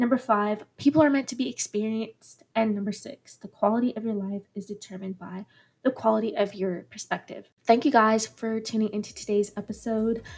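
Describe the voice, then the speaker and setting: Somewhat breathy and fairly high-pitched, a woman talks at a fairly quick pace with hardly any pauses, fairly even intonation and big swings in loudness. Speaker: podcast host. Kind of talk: motivational podcast monologue.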